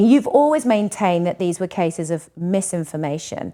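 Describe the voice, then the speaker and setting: On a very clean recording with a silent background, a woman with an unremarkable speaking voice talks at a medium pitch with lively intonation. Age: 50s. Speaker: podcast host. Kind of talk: interview conversation.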